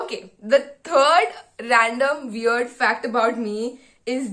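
Against a quiet background, a woman's high voice carries ordinary pitch variation. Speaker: medical student vlogger. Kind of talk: casual vlog chat. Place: home room. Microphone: phone near.

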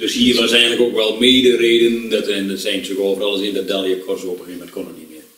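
A man with a fairly low pitch talks very fast with hardly any pauses and big swings in loudness, and audible room echo surrounds him. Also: fairly even intonation. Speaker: talk show host. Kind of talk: interview questions. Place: home room.

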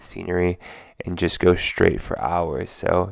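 Against a quiet background, a man speaks in a flat monotone with a very deep, low pitch, and the sound is dry with no echo. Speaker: road trip vlogger. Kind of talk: casual vlog chat. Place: car. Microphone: phone near.

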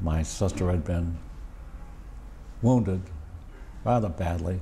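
Low-pitched and dark, mellow in tone, a man speaks at a fairly slow pace.

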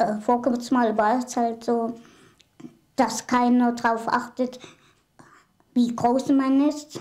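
Against a quiet background, a woman speaks at a very slow pace. Her high pitch stays monotone and flat. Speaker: small-statured woman, documentary subject. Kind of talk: casual talk to camera, interview answer. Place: home room.

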